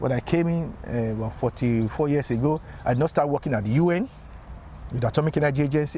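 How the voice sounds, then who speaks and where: Talking at a very fast pace, a man has a fairly high pitch. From Nigeria, Lagos. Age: 60s. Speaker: engineer and community activist. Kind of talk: interview. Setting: outdoors.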